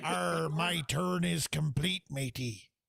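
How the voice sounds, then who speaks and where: Using a put-on character voice, a man speaks raspy and fairly high-pitched at a very slow pace. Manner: playful.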